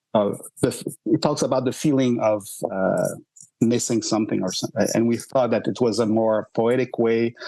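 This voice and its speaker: A dark, mellow voice with a Quebec accent, fairly even intonation and a moderate pace. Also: man, medium pitch for a man. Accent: Québécois French accent in English. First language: French. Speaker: rock band singer and songwriter. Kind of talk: podcast interview. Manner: halting, many fillers.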